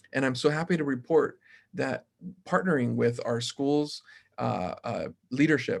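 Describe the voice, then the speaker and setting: Speaking with a Spanish accent, a man uses a fairly high pitch, ordinary pitch variation and a fairly slow pace. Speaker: mayoral candidate. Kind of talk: panel forum answer. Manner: halting.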